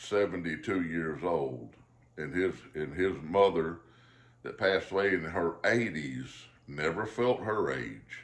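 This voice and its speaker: Very slowly and with vocal fry, a man with a Southern US accent swings his pitch very widely, with audible room echo around him. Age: 50s. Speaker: pipe smoking vlogger. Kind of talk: casual chat. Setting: at home. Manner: halting.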